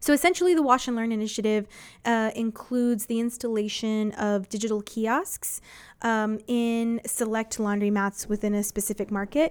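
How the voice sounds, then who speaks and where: A woman with a fairly high pitch and an unremarkable speaking voice, at a moderate pace with ordinary pitch variation, on a very clean recording with a silent background. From Texas, San Antonio. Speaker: internet provider employee in public policy. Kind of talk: radio interview.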